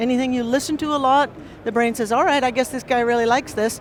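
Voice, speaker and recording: Against noticeable background noise, a woman with an American accent speaks in an animated tone at a high pitch. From United States. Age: 60s. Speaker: professor and record producer. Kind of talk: lecture.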